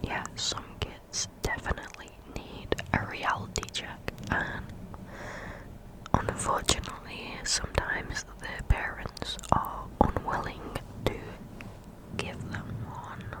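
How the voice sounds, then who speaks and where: Someone whispers at a very slow pace with long, frequent pauses and big swings in loudness, amid noticeable background noise. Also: woman. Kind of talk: ASMR Reddit story reading, whispered. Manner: whispered, up close.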